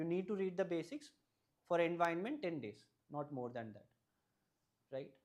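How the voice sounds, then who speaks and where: A man speaks in a Keralan accent. His voice is high-pitched with ordinary pitch variation. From Tamil Nadu, India (family from Kerala). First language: Malayalam. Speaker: civil service exam topper. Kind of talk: advice talk to students. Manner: halting, many fillers.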